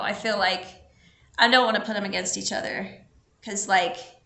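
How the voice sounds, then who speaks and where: A woman at medium pitch talks at a moderate pace, with audible room echo in the recording. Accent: American. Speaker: local theater host of debate commentary show. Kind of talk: casual chat. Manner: animated.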